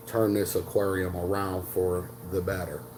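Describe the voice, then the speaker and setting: There is audible room echo around a man with a fairly low pitch. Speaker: aquarium hobbyist YouTuber. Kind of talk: casual vlog talk. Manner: halting, many fillers.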